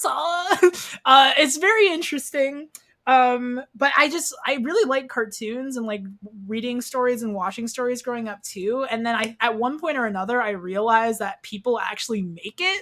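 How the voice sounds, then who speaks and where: A woman speaks in a high voice with an American accent. Her tone is bright and sharp. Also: lively intonation. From US Midwest, Kansas. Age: 20s. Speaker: podcast guest, student animator. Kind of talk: casual chat. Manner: fast.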